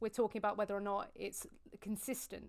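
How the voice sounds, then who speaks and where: With a British accent, a woman speaks at a fairly quick pace and fairly high pitch, with vocal fry. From UK. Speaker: vegan activist. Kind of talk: debate on video call.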